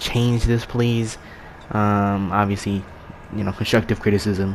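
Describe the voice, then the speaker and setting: A man speaks at a moderate pace and fairly low pitch in monotone, flat intonation. Noticeable background noise is present. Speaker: gaming youtuber. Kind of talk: video essay outro, casual talk to viewers. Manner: halting, many fillers and repeats.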